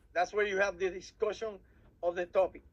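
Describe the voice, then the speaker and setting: A man's high-pitched voice with a Puerto Rican accent. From Puerto Rico. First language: Spanish. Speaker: civil air patrol officer advising cadets. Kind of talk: workshop presentation. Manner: halting, frequent repetitions.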